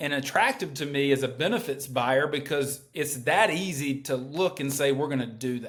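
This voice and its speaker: Speaking with a North Carolina accent, a man talks at a fairly slow pace in a fairly high pitch with ordinary pitch variation. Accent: Southern US, North Carolina. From rural North Carolina. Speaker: healthcare company executive. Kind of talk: podcast interview.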